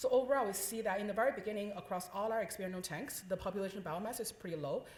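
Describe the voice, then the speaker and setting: A woman talking at a very fast pace amid audible room echo. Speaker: scientist presenting research. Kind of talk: conference talk. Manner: loud.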